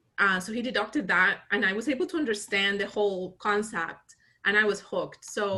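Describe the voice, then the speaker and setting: A woman of medium pitch speaks at a fairly quick pace in a bright, sharp tone. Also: ordinary pitch variation. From Colombia. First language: Spanish. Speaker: accounting firm founder. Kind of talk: interview conversation.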